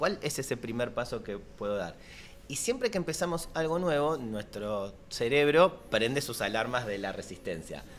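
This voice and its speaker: Light background noise sits under a man's voice. He moves at a moderate pace with very wide pitch swings. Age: 40s. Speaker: life coach; guest coach. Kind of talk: casual chat. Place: studio. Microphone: studio mic.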